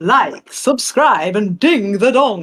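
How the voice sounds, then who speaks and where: A put-on character voice pitched fairly high. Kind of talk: showy, promotional. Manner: upbeat, bright, polished.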